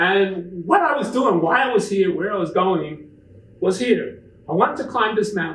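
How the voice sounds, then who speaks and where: Noticeable background noise and audible room echo accompany the recording. A man with a high pitch and lively intonation talks at a moderate pace. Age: 70s. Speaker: author and backpacker giving a talk. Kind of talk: public presentation with slides. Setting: talk to a live audience. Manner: casual, with many fillers.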